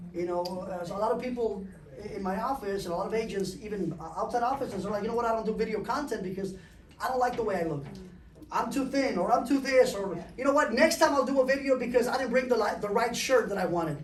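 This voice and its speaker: The speech runs at a very fast pace with ordinary pitch variation. Noticeable background noise and audible room echo fill the recording. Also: man, high pitch for a man. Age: 40s. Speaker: real estate broker. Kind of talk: panel discussion.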